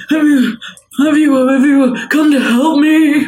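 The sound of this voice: The pitch here is extremely high. It comes from a man doing a put-on character voice.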